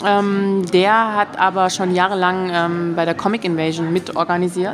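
There is noticeable background noise as a woman speaks. Her pitch is medium and her pace moderate. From Stuttgart, Swabia. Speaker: animator and festival organizer. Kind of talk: casual interview. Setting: restaurant.

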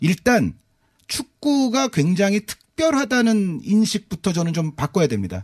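Very wide pitch swings mark this man's high-pitched voice, delivered at a fairly slow pace in a dry, close sound with no echo. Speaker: football commentator. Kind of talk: studio discussion. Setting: studio. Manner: analytical, long sentences.

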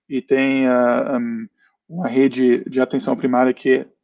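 The sound is dry and close, with no echo. A man with a German accent speaks at a medium pitch in a dark, mellow tone. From Germany. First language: German (speaking Portuguese). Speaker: company founder and CEO. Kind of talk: panel discussion. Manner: hesitant, many fillers.

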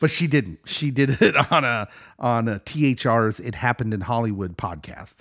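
Using a plain, everyday voice, a man with a medium pitch talks at a moderate pace with lively intonation. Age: 40s. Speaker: pastor and pop culture podcast co-host. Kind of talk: casual chat.

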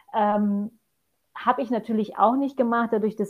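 This woman has a normal speaking voice at a medium pitch. She talks at a fairly quick pace. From Poland. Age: 40s. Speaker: mountain hiking guide. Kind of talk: podcast interview.

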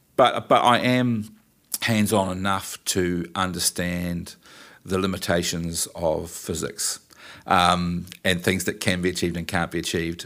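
In a very clean recording with a silent background, a man with a New Zealand accent and a very deep, low pitch speaks at a fairly slow pace with fairly even intonation. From New Zealand, New Plymouth. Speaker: event company owner and production manager. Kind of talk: interview, casual chat.

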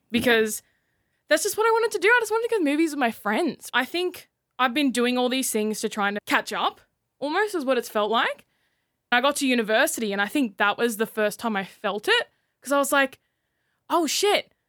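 A woman with an Australian accent, high pitch, very wide pitch swings and a fairly quick pace, very clean recording with a silent background. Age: 20s. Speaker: radio creative writer. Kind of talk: casual chat.

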